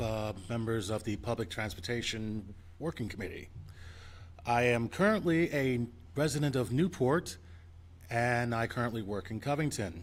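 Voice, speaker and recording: With an American accent, a man speaks in a plain, everyday voice at medium pitch with ordinary pitch variation. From New York City. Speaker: public commenter. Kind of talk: public hearing testimony. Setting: community meeting with audience.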